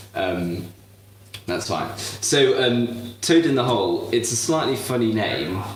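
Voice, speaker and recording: A medium-pitched man's voice with lively intonation, plus audible room echo and noticeable background noise. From southern England. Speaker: cooking show host. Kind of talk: live cooking demonstration. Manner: halting, many fillers.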